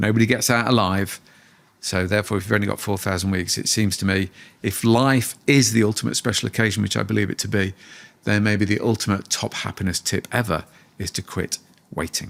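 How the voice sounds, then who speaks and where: Recorded very cleanly with a silent background, a man with a fairly low pitch and fairly even intonation talks at a fairly quick pace in an ordinary speaking voice. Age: 60s. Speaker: positive psychology researcher and author. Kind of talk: podcast interview.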